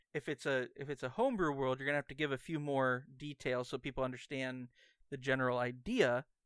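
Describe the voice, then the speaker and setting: In a very clean recording with a silent background and a dry, close sound with no echo, a man with an ordinary speaking voice talks at medium pitch and a fairly quick pace with fairly even intonation. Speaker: podcast co-host. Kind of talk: casual banter podcast chat. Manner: joking, playful.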